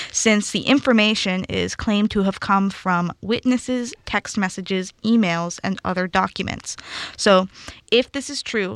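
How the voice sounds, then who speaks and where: In a dry, close recording with no echo, a woman with a normal speaking voice talks at a moderate pace, medium pitch and fairly even intonation. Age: young. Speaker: student radio co-host. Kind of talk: casual chat. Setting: studio.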